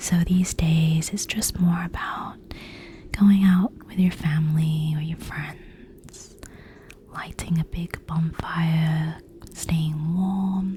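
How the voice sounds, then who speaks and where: Noticeable background noise runs beneath a soft-spoken voice going at a very slow pace. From United Kingdom. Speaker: ASMR content creator. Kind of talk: ASMR gaming commentary.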